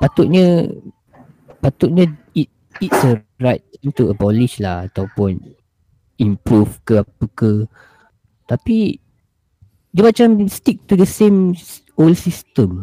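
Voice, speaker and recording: With a dark, mellow tone and a somewhat breathy quality, a man whose pitch is fairly high speaks at a very slow pace, his pitch swinging very widely between long, frequent pauses, in a dry, close sound with no echo. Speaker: podcast co-host. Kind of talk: casual chat.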